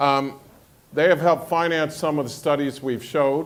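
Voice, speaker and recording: With a plain, everyday voice, a man speaks at a moderate pace, his fairly high pitch held in fairly even intonation. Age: 60s. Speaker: money manager, panelist. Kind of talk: panel discussion.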